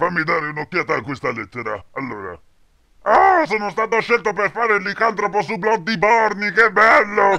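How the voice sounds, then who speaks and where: At a moderate pace, a man puts on a high-pitched character voice. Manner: cheerful, casual.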